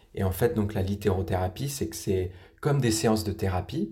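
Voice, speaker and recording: A man's fairly low, dark and mellow voice, somewhat breathy, at a moderate pace with ordinary pitch variation. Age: 30s. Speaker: patient expert, recovering alcoholic. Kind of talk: interview testimony. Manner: halting, frequent repetitions.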